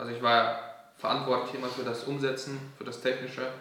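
At a moderate pace, a man with a medium pitch speaks with fairly even intonation, with audible room echo and noticeable background noise. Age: 20s. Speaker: software developer and entrepreneur. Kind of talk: casual chat.

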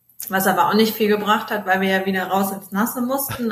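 Noticeable background noise beneath fairly even intonation. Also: woman. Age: 20s. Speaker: travel blogger. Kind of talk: interview.

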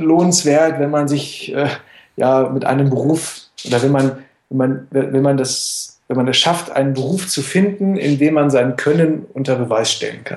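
Fairly high in pitch, a man speaks in a plain, everyday voice. His pace is fairly slow, with ordinary pitch variation. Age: 30s. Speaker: boxing coach and former semi-pro boxer. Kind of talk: casual interview.

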